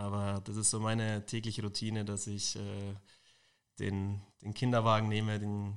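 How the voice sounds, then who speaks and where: In a very clean recording with a silent background, a man speaks in a fairly low pitch with monotone, flat intonation. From Munich, Bavaria. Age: 20s. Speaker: football athletic trainer. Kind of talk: interview.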